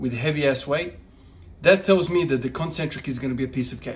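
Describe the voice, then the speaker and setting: A somewhat breathy voice with ordinary pitch variation. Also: man. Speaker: strength training vlogger. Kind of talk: casual vlog chat. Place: gym. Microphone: phone near.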